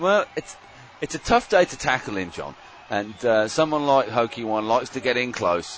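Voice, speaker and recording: Noticeable background noise runs through the clip. The man keeps a moderate pace and shows ordinary pitch variation. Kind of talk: sports commentary, live colour commentary with jokes.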